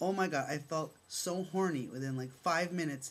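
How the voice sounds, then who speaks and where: The speaker's tone is animated. The pace is fairly slow. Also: man. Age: 40s. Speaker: vlogger. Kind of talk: personal vlog testimony.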